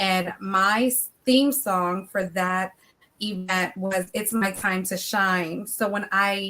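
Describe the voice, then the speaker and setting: A woman speaks at medium pitch with an American accent. Her tone is bright and sharp, her intonation monotone and flat. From Philadelphia, US. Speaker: author and motivational speaker. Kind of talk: interview chat.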